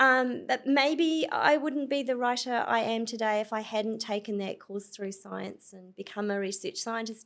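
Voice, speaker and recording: Fairly high-pitched woman with a New Zealand accent, ordinary pitch variation, and a moderate pace. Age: 50s. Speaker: author. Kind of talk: interview conversation. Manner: animated.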